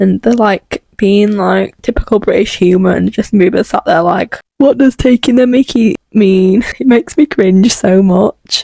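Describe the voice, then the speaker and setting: Speaking with a Yorkshire accent, a woman hardly pauses and keeps her loudness very even, the sound dry and close with no echo. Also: medium pitch for a woman, ordinary pitch variation, moderate pace. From Yorkshire, northern England. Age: 20s. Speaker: pop culture commentary youtuber. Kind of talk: video commentary. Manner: casual, chatty.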